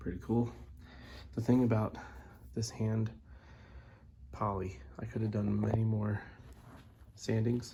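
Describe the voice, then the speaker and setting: A man's somewhat breathy voice, fairly low in pitch, with a dark, mellow tone at a moderate pace. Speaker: musician building a bass guitar. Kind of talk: casual video log. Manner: quiet; casual, hesitant.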